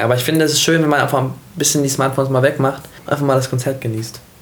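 A man speaks very fast amid noticeable background noise and audible room echo. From Hanover, northern Germany. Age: 20s. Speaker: pop singer. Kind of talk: casual interview.

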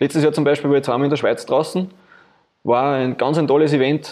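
In an Austrian accent, a man with a fairly high pitch talks with fairly even intonation. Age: 30s. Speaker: insurance agent and film car builder. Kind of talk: interview. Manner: casual, colloquial.

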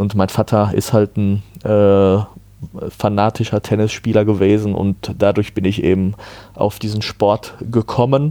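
A man speaks in a fairly low pitch with a dark, mellow tone and monotone, flat intonation. His pace is fairly slow, with long, frequent pauses. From Germany, Ruhr area (Herdecke). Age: 30s. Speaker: amateur tennis player and former umpire. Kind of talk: casual interview.

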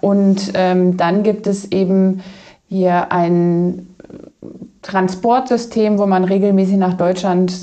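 Her medium-pitched voice stays monotone, the woman's intonation flat throughout. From Germany, Kassel area (northern Hesse). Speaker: outreach worker with women in prostitution. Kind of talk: interview.

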